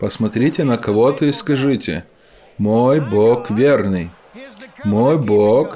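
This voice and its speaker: A man at a very slow pace, with long, frequent pauses, ordinary pitch variation and very even loudness. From US South. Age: 70s. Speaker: preacher. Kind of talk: sermon. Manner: animated.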